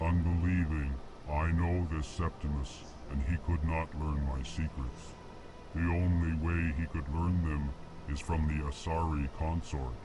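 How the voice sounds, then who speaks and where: Through loud background noise, a man puts on a character voice with a very deep, low pitch. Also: moderate pace. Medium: game stream. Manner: prefixes lines with stated emotion, flat monotone.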